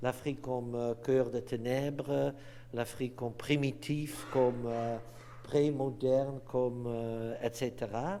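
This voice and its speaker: A man's medium-pitched, monotone, flat delivery at a very slow pace, with audible room echo. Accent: non-native. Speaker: anthropology professor. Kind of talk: lecture. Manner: halting, many hesitations.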